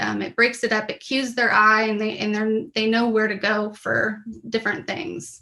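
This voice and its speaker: The voice has a bright, sharp tone and moves at a fairly slow pace, with audible echo from the room. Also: woman. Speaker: professor. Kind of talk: conference presentation. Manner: many fillers (um).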